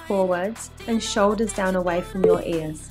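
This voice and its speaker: Music behind a woman's moderately paced speech. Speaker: fitness coach. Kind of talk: workout instruction voice-over.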